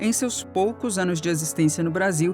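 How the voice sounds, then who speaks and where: A woman talks with a fairly low pitch while music sounds in the background. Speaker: voice actor. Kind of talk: audiobook narration. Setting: home studio.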